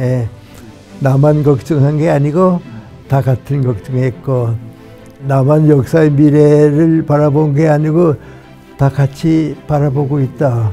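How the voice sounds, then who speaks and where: Music plays behind a man who speaks at a fairly high pitch and a very slow pace, keeping his loudness very even and leaving long, frequent pauses. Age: 80s+. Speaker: philosopher, professor. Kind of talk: interview answer.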